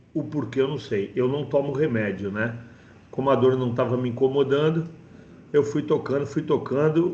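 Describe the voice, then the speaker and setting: A man speaks at a moderate pace in a somewhat breathy, dark, mellow tone. His pitch sits in the medium range with ordinary variation. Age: 50s. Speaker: course participant. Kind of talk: testimony. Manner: halting.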